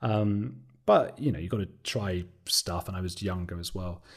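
A man with an English accent, fairly low-pitched and fairly even in intonation, at a moderate pace in a very clean recording with a silent background. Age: 30s. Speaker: documentary maker and podcast host. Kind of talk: interview. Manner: talkative.

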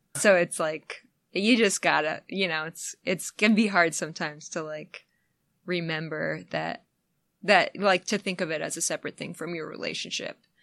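Vocal fry comes through at a moderate pace, the sound dry and close with no echo against a quiet background. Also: woman, fairly low pitch for a woman. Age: 30s. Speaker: musician. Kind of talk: casual chat. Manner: halting.

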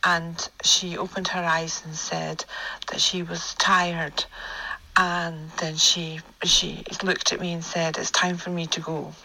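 With a Scottish accent, a woman speaks at a fairly slow pace and fairly low pitch in a monotone, flat intonation, her loudness swinging widely amid noticeable background noise. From Scotland. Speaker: listener sharing story. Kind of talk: voice note recounting personal story. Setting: recorded voice note.

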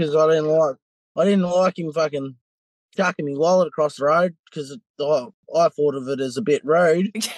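A fairly high-pitched man at a moderate pace, with ordinary pitch variation and a dry, close sound with no echo. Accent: strong Australian. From New South Wales, Australia. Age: 20s. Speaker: interviewee in a crime story. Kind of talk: casual interview.

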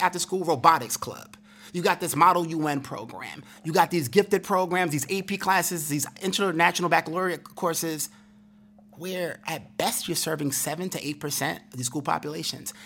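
A man talks fairly quickly in a high voice whose pitch varies in an ordinary way. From Brooklyn, New York. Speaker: education speaker and former attorney. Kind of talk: interview. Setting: conference recording.

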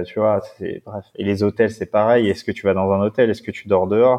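The man has a fairly low pitch. He speaks at a moderate pace. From Paris suburbs (Seine-Saint-Denis). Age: 30s. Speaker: adventurer and endurance cyclist. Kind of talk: casual interview.

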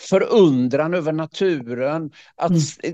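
Against a quiet background, a man talks in a fairly high pitch with a dark, mellow tone and ordinary pitch variation. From Swedish west coast. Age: 60s. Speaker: leadership speaker and author. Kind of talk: casual interview conversation. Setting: video call.

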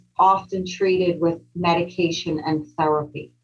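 Hers is a plain, everyday voice at a medium pitch. The woman speaks at a fairly slow pace. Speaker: professor and psychotherapist. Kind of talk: interview conversation.

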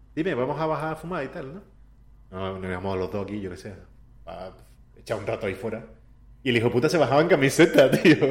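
Talking at a very fast pace yet with long, frequent pauses, a man at medium pitch sounds somewhat breathy, with very wide pitch swings and big swings in loudness. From Andalusia, Spain (Seville). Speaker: video game character artist. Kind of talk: casual interview.

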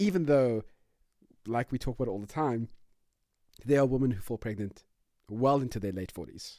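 A man with a medium pitch and a dark, mellow tone talks at a moderate pace with lively intonation. He leaves long, frequent pauses. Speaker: podcast co-host and parent. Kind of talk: casual chat between a couple. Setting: home recording. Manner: laughs often.

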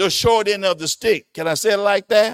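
At a moderate pace, a man speaks in an animated tone with ordinary pitch variation, recorded dry and close with no echo. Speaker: pastor. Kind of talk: sermon, Bible lesson. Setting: church. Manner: animated, preacher in full flow, emphatic and exhortative.

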